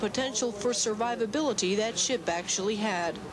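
Over noticeable background noise, a woman talks at a fairly quick pace with a fairly high pitch and ordinary pitch variation. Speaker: Navy journalist reporter. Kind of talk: scripted news report narration, polished broadcast delivery. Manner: formal, steady, even-paced.

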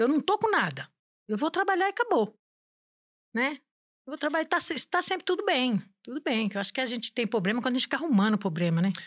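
The speech runs at a very fast pace with very wide pitch swings and long, frequent pauses. The background is quiet. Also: woman, high pitch for a woman. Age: 60s. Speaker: domestic worker; podcast guest. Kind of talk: casual chat. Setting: studio. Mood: warm, humorous storytelling. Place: studio. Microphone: studio mic.

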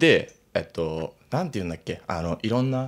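A man at a moderate pace. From Tokyo (Fussa), Japan; Tokyo, Japan. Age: 20s. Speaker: rapper; podcast guest. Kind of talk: casual chat. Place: studio. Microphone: studio mic.

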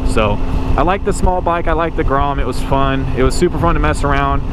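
The recording is dry with no echo, with noticeable noise behind it. A man speaks fairly quickly. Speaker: motorcycle rider vlogger. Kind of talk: casual vlog chat. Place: motorbike. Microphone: helmet.

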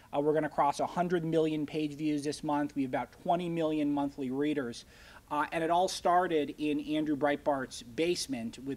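Moderate-paced speech from a man, his intonation fairly even. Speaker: guest. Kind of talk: lecture. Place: meeting room. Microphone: podium.

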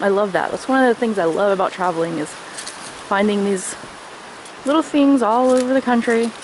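A woman at a moderate pace with ordinary pitch variation, a dry sound with no echo, and noticeable background noise. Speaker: travel vlogger. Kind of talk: casual vlog chat. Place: forest. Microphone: phone near.

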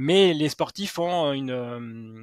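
An ordinary speaking voice from a man with a fairly high pitch and ordinary pitch variation, dry with no echo against a quiet background. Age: 40s. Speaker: sports psychologist and author; guest. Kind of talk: interview. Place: home room. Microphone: headset.

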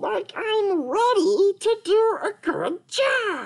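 A man puts on a cartoonish character voice at an extremely high pitch, speaking at a very slow pace. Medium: puppet. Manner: silly, playful.

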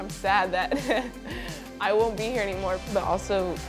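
A woman speaks with clear music in the background. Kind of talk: interview answer. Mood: warm, reflective, emotional. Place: home room. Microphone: lapel.

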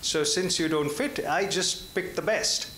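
A man's high-pitched voice with an American accent and lively intonation at a fairly slow pace, amid audible room echo and light background noise. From Indian American. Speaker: audience member. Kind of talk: audience question. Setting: luncheon event with audience. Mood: earnest, probing. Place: hall.

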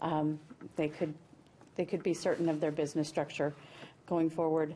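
A woman with an American accent, fairly low pitch and a dark, mellow tone, over light background noise. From Murdock, western Minnesota; Minnesota. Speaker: state senator. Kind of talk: political roundtable discussion. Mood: earnest, argumentative policy talk. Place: studio.

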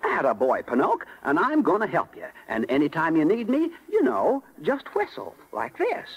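In a cartoonish character voice, a man speaks at a moderate pace with a fairly high pitch, very wide pitch swings and a slightly husky edge.

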